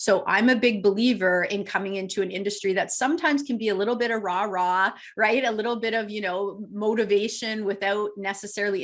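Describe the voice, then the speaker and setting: A woman at a fairly quick pace, medium in pitch, with ordinary pitch variation. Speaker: real estate coach. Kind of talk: webinar presentation. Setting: webinar. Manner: fast; animated.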